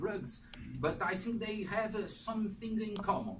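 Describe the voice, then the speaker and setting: Room echo can be heard. The man's voice sits high in pitch. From Brazil. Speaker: history professor. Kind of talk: lecture. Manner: halting, many fillers.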